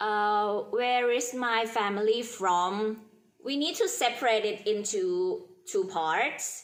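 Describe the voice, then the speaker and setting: A woman with a Thai accent speaks at a very slow pace and fairly high pitch, with very wide pitch swings and audible room echo. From Thailand, Bangkok area. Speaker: university student. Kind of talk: class presentation. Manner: halting, with fillers.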